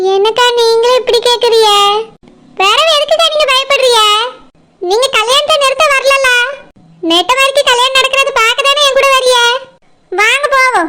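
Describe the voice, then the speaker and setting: Using a cartoonish character voice, a woman speaks at an extremely high pitch and a moderate pace, with ordinary pitch variation and very even loudness. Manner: assertive, persuasive.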